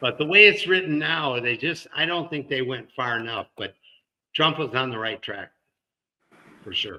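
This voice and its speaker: A man's bright, sharp tone with an American accent. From US Midwest, Detroit. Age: 70s. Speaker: cancer survivor and comedy writer. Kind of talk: interview conversation.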